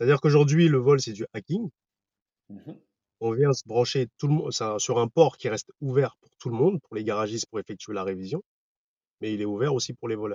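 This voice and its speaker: A man of medium pitch talks at a fairly quick pace with long, frequent pauses, ordinary pitch variation and big swings in loudness. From Paris region, France (Val-d'Oise suburbs). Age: 40s. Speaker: startup founder. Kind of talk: interview. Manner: hesitant, many fillers.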